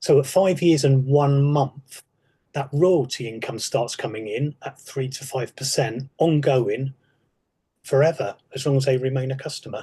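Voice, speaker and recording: Somewhat breathy and fairly high in pitch, a man speaks at a moderate pace with fairly even intonation. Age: 60s. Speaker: retired police sergeant. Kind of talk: podcast interview.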